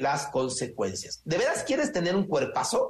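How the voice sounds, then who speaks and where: Energetic in tone, a man with a Mexican accent speaks at a high pitch with very wide pitch swings. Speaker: business consultant and personal growth coach. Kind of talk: radio interview.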